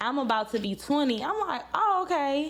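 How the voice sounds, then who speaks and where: A woman talks with a Louisiana accent and lively intonation. Her tone is animated. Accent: Louisiana Southern US. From Louisiana, Baton Rouge. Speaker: podcast host. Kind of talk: casual chat.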